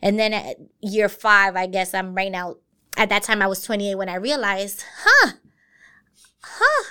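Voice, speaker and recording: With an American accent and a bright, sharp tone, a woman at medium pitch talks at a moderate pace in a monotone, flat way, leaving long, frequent pauses. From US, Brooklyn, New York. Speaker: university diversity director. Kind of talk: interview.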